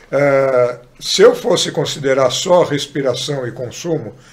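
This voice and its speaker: A man's somewhat breathy speech shows ordinary pitch variation. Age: 60s. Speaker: sports medicine doctor. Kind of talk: podcast interview.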